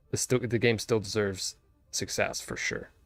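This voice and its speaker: Recorded with a dry, close sound and no echo, a man speaks at a medium pitch with music in the background. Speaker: video game streamer. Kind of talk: live gaming stream chat. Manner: fast; animated.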